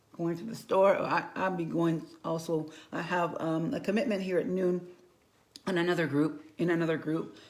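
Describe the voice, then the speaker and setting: There is audible room echo as a woman talks at a moderate pace. Her pitch is fairly low, with ordinary variation. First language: Spanish. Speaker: makeup consultant and bilingual school teacher. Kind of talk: makeup tutorial livestream. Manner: casual, halting with repetitions.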